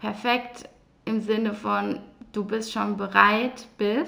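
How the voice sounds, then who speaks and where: A woman is speaking. Her pitch is fairly high. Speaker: mindset coach and podcast host. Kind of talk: solo personal monologue.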